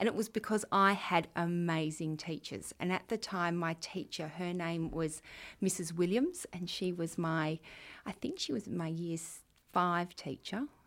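Speaking at a fairly slow pace with an Australian accent, a woman comes through in a very clean recording with a silent background. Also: fairly low pitch for a woman, ordinary pitch variation. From Western Australia. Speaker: school deputy principal. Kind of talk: interview answering students' questions. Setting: room with students present.

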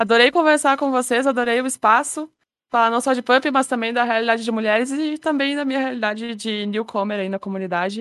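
At a fairly quick pace, a woman with a high pitch and ordinary pitch variation speaks in a dry, close sound with no echo against a quiet background. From Brazil. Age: 20s. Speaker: software developer, dance game player. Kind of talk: casual podcast interview.

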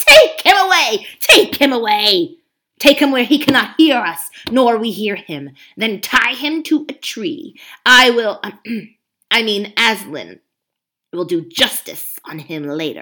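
A woman's put-on character voice, fairly high in pitch, with very wide pitch swings and a fairly slow pace. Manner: squealing in rage.

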